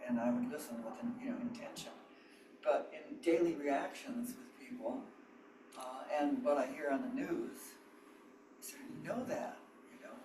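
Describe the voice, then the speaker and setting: Speaking at a moderate pace, a man leaves long, frequent pauses, his loudness swinging widely amid audible room echo and noticeable background noise. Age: 90s. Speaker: meditation group participant. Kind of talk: group discussion sharing. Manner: halting.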